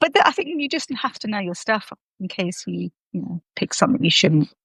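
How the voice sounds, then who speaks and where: The speaker talks in a London accent against a quiet background. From London, England. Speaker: artist and live-stream host. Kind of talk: casual chat.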